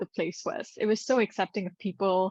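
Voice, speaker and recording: A woman at medium pitch speaks with a Gujarati accent and ordinary pitch variation, in a dry, close recording with no echo and a quiet background. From Singapore. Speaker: actress and business mentor for actors. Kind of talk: podcast interview.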